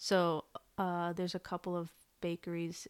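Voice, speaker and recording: A soft-spoken woman with a General American accent talks at a fairly low pitch for a woman, the sound dry and close with no echo in a very clean recording with a silent background. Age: 20s. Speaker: guest, former mentee. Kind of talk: casual chat. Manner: soft-spoken, shy.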